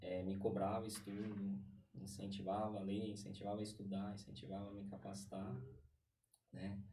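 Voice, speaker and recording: Long, frequent pauses break up a man's fairly low voice with a São Paulo accent, at a moderate pace. His intonation is fairly even, and there is audible room echo. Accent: Paulistano Brazilian Portuguese. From Brazil, São Paulo East Zone. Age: 30s. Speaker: podcast guest. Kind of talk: casual interview chat. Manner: hesitant, many fillers.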